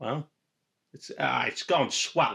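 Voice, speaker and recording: A man puts on a character voice in a New York accent, raspy and fairly high in pitch. The New York accent is part of the act. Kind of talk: old-fashioned.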